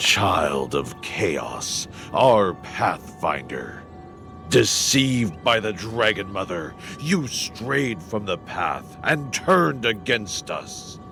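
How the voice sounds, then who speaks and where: Over clear music in the background, a man uses a put-on character voice. He speaks at a very slow pace with a fairly low pitch. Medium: machinima. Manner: grave, measured.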